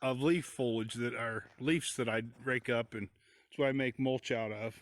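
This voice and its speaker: The sound is dry and close with no echo as a man with an American accent talks at a moderate pace. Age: 60s. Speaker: homesteader. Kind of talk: casual vlog narration. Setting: outdoors. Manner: halting, with many fillers.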